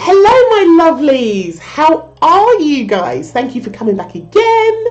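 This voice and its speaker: Amid noticeable background noise and audible room echo, a woman with a high voice speaks at a fairly slow pace in an animated tone with very wide pitch swings. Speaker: social media marketing tutor, small business owner. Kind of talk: tutorial.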